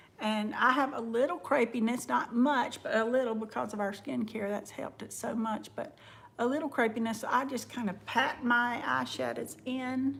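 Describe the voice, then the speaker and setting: A woman's fairly high voice with a Southern US accent, at a moderate pace and with fairly even intonation. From US South. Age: 50s. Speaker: makeup vlogger. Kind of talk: livestream makeup tutorial. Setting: live stream at home. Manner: casual, chatty.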